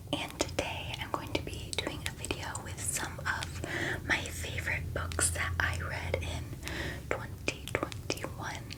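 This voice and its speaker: Noticeable background noise fills the recording. A woman is whispering at a very slow pace. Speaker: ASMR creator. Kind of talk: ASMR book review, whispered talk to camera. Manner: whispered.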